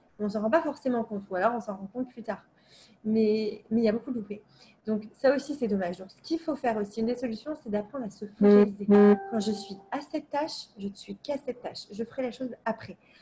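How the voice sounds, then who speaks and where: Fairly high in pitch, a woman talks at a fairly quick pace, somewhat breathy, with a dark, mellow tone and ordinary pitch variation. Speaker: psychology coach. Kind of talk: talking-head advice video. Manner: fast; hesitant with fillers.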